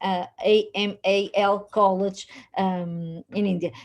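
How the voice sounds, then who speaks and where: Very slow, fairly even speech in a Portuguese accent with a dark, mellow tone. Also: woman. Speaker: institute vice director. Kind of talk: welcome speech. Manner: halting.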